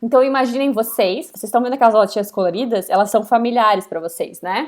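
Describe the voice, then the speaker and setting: Lively intonation marks this woman's voice in a very clean recording with a silent background. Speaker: university lecturer. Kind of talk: lecture.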